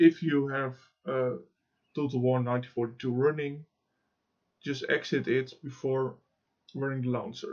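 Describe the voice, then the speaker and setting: A man with a Dutch accent talks at a medium pitch with fairly even intonation. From Netherlands. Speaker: gaming YouTuber and mod developer. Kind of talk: software tutorial. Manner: halting, with many fillers.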